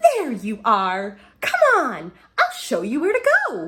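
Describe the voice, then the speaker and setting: Using a put-on character voice, a woman talks at a fairly slow pace, her fairly high pitch swinging very widely. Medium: read story. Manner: brisk, gushing.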